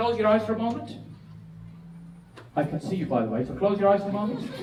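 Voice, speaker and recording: A man at a high pitch and a very fast pace, with lively intonation, big swings in loudness, noticeable background noise and audible room echo. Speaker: business and property speaker. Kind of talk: seminar presentation. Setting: stage with audience. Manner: animated. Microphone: echoey microphone.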